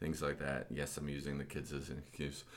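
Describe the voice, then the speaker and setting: A man talks with vocal fry in a very deep, low pitch. Audible room echo surrounds him. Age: 30s. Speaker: gym podcast host. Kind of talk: casual chat.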